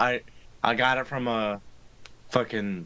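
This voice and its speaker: Using an American accent, a man talks at a very slow pace in a bright, sharp tone with fairly even intonation. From Central New York. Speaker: podcast host. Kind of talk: casual chat.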